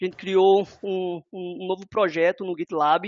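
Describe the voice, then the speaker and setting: This man talks at a moderate pace with a high-pitched voice. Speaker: software developer. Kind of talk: webinar presentation. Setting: online webinar.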